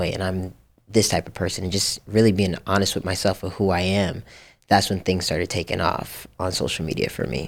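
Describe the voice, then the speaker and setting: The voice carries vocal fry and ordinary pitch variation. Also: man, very clean recording, silent background. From Japan. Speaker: writer, director and producer. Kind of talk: casual chat.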